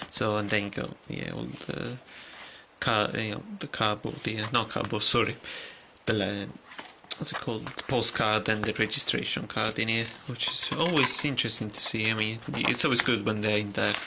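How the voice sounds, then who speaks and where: Over noticeable background noise, a man with a fairly low voice talks at a moderate pace with fairly even intonation. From Italy. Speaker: video game collector YouTuber. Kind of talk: casual video haul review. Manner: halting, many fillers and restarts.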